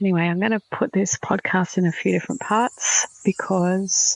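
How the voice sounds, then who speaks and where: A woman speaks at a moderate pace. The sound is dry and close, with no echo. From Australia. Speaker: spiritual podcast host. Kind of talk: casual monologue. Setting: outdoors on a balcony. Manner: quiet, soft-spoken.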